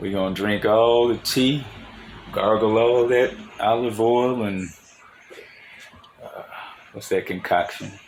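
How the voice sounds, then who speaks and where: A man at a medium pitch speaks at a very slow pace with long, frequent pauses and fairly even intonation. His loudness swings widely, and noticeable background noise is present. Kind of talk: casual talk.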